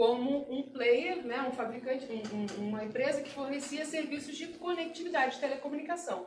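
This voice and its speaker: With a Carioca accent, a woman speaks at a moderate pace in a high pitch, and room echo is audible. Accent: carioca accent with hissing s sounds. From Brazil, Rio de Janeiro. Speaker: security analyst. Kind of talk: talk at meetup. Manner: casual.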